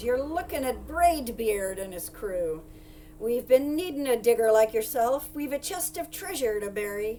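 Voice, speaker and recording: A woman shouts loudly in a put-on character voice at a fairly high pitch and moderate pace. Clear background noise can be heard. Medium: read story. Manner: loud, shouting, pirate talk.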